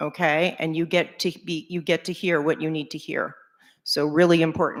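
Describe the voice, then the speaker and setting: A woman with a New York accent speaks at a fairly low pitch and a moderate pace in a monotone, flat intonation. The recording is very clean, with a silent background. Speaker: conference speaker, agency salesperson. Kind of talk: conference talk.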